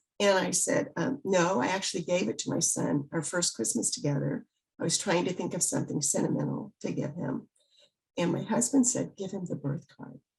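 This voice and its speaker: A woman with an American accent speaks at a moderate pace, her fairly low pitch swinging very widely, with vocal fry. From US South, Biloxi, Mississippi. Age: 70s. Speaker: author. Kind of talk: interview.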